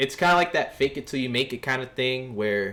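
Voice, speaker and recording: At a moderate pace, the speaker talks in a New York accent. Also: man. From New York City, East Harlem. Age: 20s. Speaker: streamer. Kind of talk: casual livestream chat. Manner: casual, conversational.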